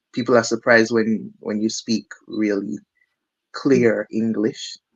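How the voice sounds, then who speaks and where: A man's medium-pitched voice with a slight Caribbean accent, at a fairly slow pace and with fairly even intonation. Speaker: musician, drummer. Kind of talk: interview. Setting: studio.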